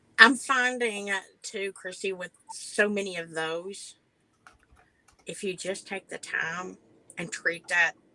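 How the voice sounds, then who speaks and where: Using a bright, sharp tone at medium pitch with ordinary pitch variation, a woman talks at a very slow pace with long, frequent pauses. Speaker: professional truck driver. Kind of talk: podcast interview. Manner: halting, many restarts.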